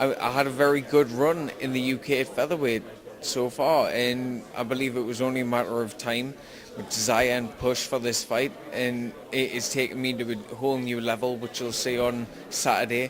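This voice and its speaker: A man with a strong Geordie accent speaks at a moderate pace and medium pitch in a flat monotone, with audible room echo and noticeable background noise. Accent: Geordie, thick. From northern England, Newcastle. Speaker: MMA fighter. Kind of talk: interview.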